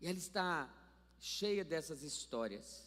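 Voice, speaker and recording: The man's pitch runs high while he talks fairly slowly. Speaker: pastor. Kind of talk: sermon. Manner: animated.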